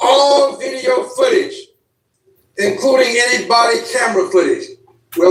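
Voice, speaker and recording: A man with an extremely high pitch talks at a moderate pace, his pitch swinging very widely. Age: 70s. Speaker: congressman. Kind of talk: political speech. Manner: emphatic, rhetorical repetition.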